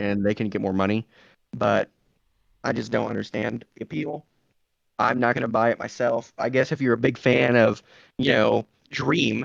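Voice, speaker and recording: A man with a medium-pitched voice and some vocal fry talks at a moderate pace with ordinary pitch movement, leaving long, frequent pauses, in a dry, close recording with no echo. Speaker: podcast co-host. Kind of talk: casual chat.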